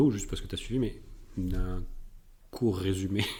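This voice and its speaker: The voice has a dark, mellow tone, somewhat breathy, moving at a moderate pace with ordinary pitch variation. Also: man. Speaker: podcast co-host, soccer coach. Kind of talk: casual chat. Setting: studio with mic and camera.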